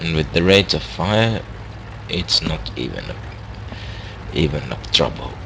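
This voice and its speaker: A man with a very deep, low pitch speaks fairly slowly, with very wide pitch swings and long, frequent pauses. Background noise is noticeable. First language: not English. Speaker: gaming commentator. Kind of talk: gameplay commentary. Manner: halting.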